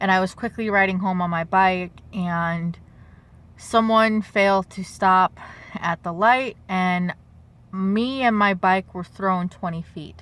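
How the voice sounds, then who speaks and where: Very slow, fairly even female speech at a medium pitch. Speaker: vlogger. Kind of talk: story time vlog. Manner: halting.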